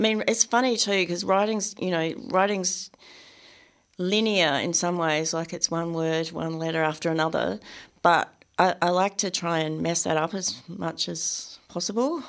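Speaking with an Australian accent, a woman uses a fairly low pitch. The recording is very clean, with a silent background. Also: ordinary pitch variation, moderate pace. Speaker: novelist and poet. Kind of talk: radio interview.

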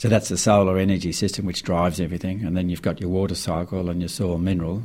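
Speaking at a very fast pace, a man with an Australian accent keeps a monotone, flat intonation in a very deep, low pitch. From Australia, rural New South Wales near the Snowy Mountains. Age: 60s. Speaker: farmer and author. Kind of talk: radio interview. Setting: radio studio.

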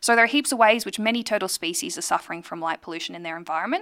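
The voice carries an Australian accent and lively intonation. It is a very clean recording with a silent background. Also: woman. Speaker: radio host and astronomer. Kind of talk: radio talk show monologue.

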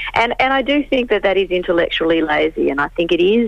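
Lively in intonation, a woman with an Australian accent talks very fast over noticeable background noise. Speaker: historian. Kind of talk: interview, expert explanation. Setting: phone call.

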